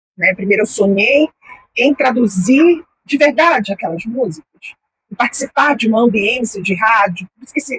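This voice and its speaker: A woman with a plain, everyday voice speaks at a moderate pace in a fairly high pitch, with lively intonation and big swings in loudness, recorded in a dry, close sound with no echo. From Brazil, Belém do Pará. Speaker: journalist and mentor. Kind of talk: interview.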